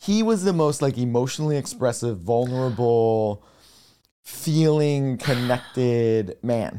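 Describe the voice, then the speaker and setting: With an American accent and an unremarkable speaking voice, a man talks at a fairly slow pace and very even loudness. His medium pitch shows ordinary variation. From rural Pennsylvania. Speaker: mental health educator. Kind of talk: interview conversation. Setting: in-person at host's home.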